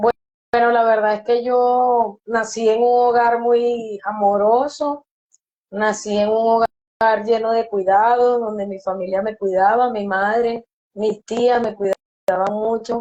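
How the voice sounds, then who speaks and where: A woman's dark, mellow voice in a Venezuelan accent, very slow, with monotone, flat intonation. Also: fairly high pitch for a woman. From Venezuela, Yaracuy state. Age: 30s. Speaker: recovered drug user. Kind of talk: testimony. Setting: online live stream.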